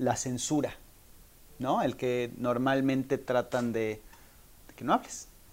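The speaker has a Mexican accent. The delivery is very slow. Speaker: podcast host. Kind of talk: interview.

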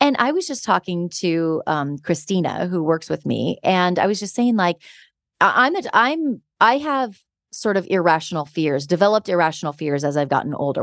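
An unremarkable speaking voice, a woman's, fairly low with lively intonation. She talks at a fairly quick pace against a quiet background. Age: 40s. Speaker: podcast host. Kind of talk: casual chat.

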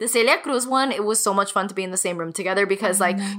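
The speaker has an American accent and a bright, sharp tone. The pace is very fast. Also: woman. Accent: Miami Cuban American English. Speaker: podcast co-host. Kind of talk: casual chat.

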